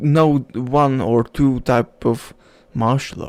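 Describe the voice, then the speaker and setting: At a very slow pace, a man with a non-native accent speaks in a fairly high pitch. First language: not English. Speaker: self-help vlogger. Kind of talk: casual monologue. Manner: halting.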